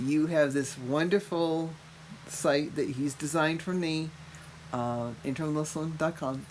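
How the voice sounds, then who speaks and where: A woman with an American accent speaks at a fairly slow pace. Her voice is very deep and low, with audible room echo. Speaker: mother of the podcast host, cancer patient. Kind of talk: casual chat. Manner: animated.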